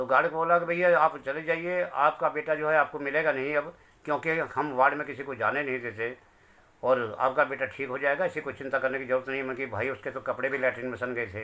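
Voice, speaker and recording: At a moderate pace, a man talks in a fairly high voice with a bright, sharp tone. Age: 60s. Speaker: bereaved father. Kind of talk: testimony.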